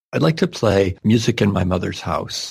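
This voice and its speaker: Speaking in an American accent, a man with a fairly low pitch moves at a fairly quick pace with vocal fry. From Wisconsin, US Midwest. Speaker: folk musician.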